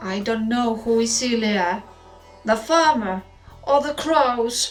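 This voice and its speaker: A woman puts on a character voice with a fairly high pitch. She speaks at a fairly slow pace over clear music in the background. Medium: read story. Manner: calm, wise.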